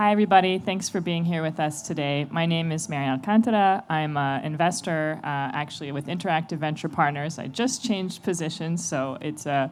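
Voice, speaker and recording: A woman with an American accent speaks at a very deep, low pitch with ordinary pitch variation. Her pace is fairly quick, with hardly any pauses. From United States. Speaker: venture capital investor, panelist. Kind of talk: panel discussion.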